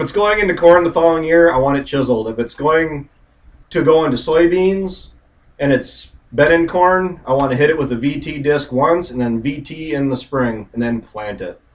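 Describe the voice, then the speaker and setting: A man speaks at a moderate pace. His pitch variation is ordinary. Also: fairly high pitch for a man. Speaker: farmer. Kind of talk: casual chat. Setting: livestream. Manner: loud.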